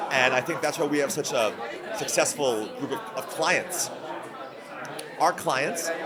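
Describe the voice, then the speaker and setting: A man's fairly high voice at a moderate pace, with audible room echo and crowd noise in the background. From Mexican-American heritage. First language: Spanish. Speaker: business executive. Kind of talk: conference interview. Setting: event venue. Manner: animated.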